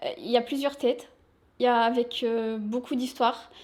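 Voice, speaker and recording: High pitch and monotone, flat intonation in a woman's voice. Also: very clean recording, silent background. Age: 20s. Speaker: shop sales assistant. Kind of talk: interview.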